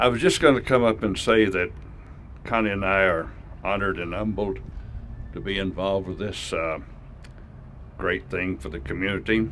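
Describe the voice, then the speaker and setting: Speaking with long, frequent pauses, a man with a very deep, low pitch shows vocal fry. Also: ordinary pitch variation, moderate pace. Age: 80s+. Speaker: philanthropist and donor. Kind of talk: speech at a public announcement.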